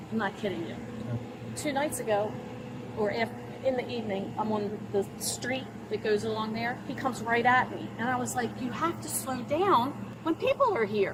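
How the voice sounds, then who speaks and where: A woman talks at a moderate pace, and noticeable background noise can be heard. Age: 60s. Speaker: woman questioned by police. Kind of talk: confrontation with police. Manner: animated.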